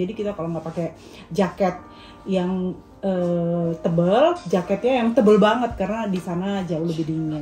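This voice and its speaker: With noticeable background noise present, a woman's speech moves at a moderate pace. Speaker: family vlogger, mother. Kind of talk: casual family vlog chat.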